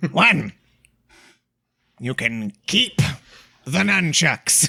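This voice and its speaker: A man performs a put-on character voice. His pitch swings very widely. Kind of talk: archaic, formal. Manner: grand and formal.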